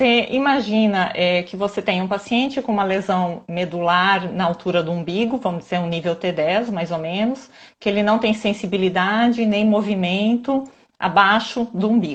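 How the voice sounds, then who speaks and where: A woman at medium pitch speaks at a moderate pace, her somewhat breathy voice showing ordinary pitch variation. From southern Brazil, Santa Catarina. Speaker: physiotherapist. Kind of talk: live stream interview.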